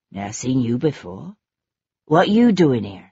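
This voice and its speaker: A raspy, put-on character voice sits at a low-to-middle pitch. The pace is moderate. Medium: read story. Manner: blunt, suspicious, curt.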